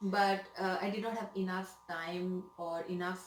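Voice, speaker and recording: Amid noticeable background noise and audible room echo, a woman speaks with monotone, flat intonation. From India, Mumbai. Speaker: nurse. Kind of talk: interview. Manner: hesitant, many fillers.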